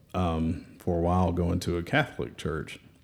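Speaking at a moderate pace, a man has a Southern US accent. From Alabama, Birmingham. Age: 30s. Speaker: church member and parent. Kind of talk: casual chat.

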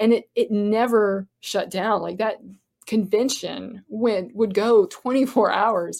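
A woman speaks with an American accent. Her pace is very slow and her pitch fairly high. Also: fairly even intonation. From Florida. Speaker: actor and filmmaker. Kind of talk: casual interview chat.

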